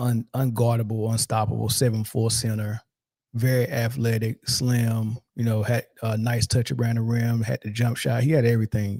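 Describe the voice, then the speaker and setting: A man speaks at a moderate pace in a somewhat breathy, dark and mellow voice of medium pitch, flat and monotone, sounding dry and close with no echo. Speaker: sports commentator. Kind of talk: casual commentary. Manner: casual, many fillers.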